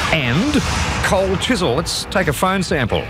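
Music plays in the background. A man speaks in an upbeat, energetic tone. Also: dry sound with no echo. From Australia. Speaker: radio presenter. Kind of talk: radio broadcast aircheck. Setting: studio. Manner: upbeat, fast, energetic. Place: studio. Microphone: old recording.

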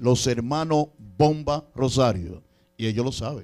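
Over a quiet background, a man talks in an animated tone. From Dominican Republic. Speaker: radio show producer and entertainment promoter; radio show producer. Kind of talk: interview with preaching asides. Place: studio. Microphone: handheld.

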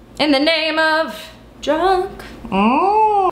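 A woman speaks with audible room echo. There is light background noise. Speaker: comedy cooking vlogger. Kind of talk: casual vlog chat. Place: kitchen. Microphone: phone near.

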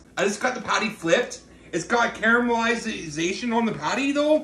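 Amid light background noise and audible room echo, a man keeps up a fairly brisk pace. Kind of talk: casual cooking tutorial. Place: kitchen. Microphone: phone near.

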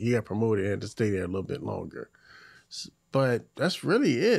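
The recording is very clean, with a silent background. A man talks in an unremarkable speaking voice at medium pitch. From Hampton Roads, Virginia, US. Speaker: podcast host. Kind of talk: casual chat.

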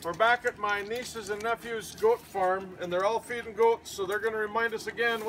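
A natural reading voice with fairly even intonation

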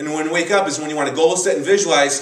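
A man speaks in an animated tone. Audible room echo surrounds his voice. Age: 40s. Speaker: bodybuilding coach. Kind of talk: tutorial. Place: gym. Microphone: camera far.

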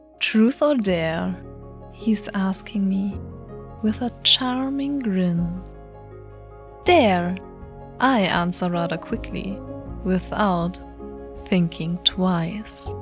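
A woman speaking at a very slow pace, with long, frequent pauses and music in the background. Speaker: poet. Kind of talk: poetry reading.

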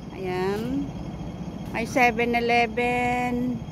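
A woman with a high-pitched voice speaks in a dry, echo-free sound over noticeable background noise. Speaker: vlogger filming her walk. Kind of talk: casual vlog chat. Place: street. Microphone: phone near.

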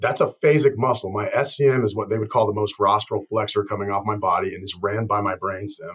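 Against a quiet background, a man with an American accent speaks in a somewhat breathy voice. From Colorado, US Southwest. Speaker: chiropractor. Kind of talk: interview. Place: office. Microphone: webcam.

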